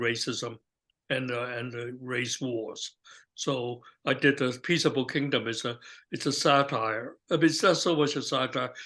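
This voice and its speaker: A man with a bright, sharp tone and medium pitch talks at a fairly slow pace with fairly even intonation over a quiet background. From China. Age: 80s+. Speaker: artist. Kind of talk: interview answer. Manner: hesitant, halting.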